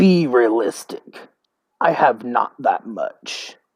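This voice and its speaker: In a put-on character voice, the speaker growls at a low-to-middle pitch and a very slow pace. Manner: growling, irritated.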